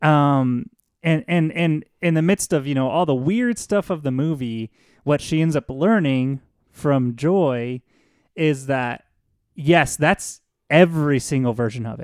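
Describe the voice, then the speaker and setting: With an ordinary speaking voice, a man talks at a fairly high pitch with ordinary pitch variation, in a dry, close sound with no echo on a very clean recording with a silent background. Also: fairly slow pace. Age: 30s. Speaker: podcast co-host. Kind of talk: casual chat.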